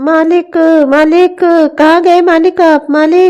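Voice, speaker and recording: A woman uses a put-on character voice at an extremely high pitch. Her intonation stays monotone and flat. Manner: shouting, frantic.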